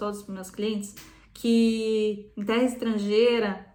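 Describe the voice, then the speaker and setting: In a fairly high pitch, a woman talks with monotone, flat intonation amid audible room echo. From southern Brazil (Rio Grande do Sul). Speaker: psychotherapist. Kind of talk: talk on psychology, guest on channel.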